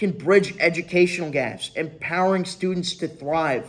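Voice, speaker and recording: The voice belongs to a man and sits high in pitch. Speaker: student. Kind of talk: class presentation speech.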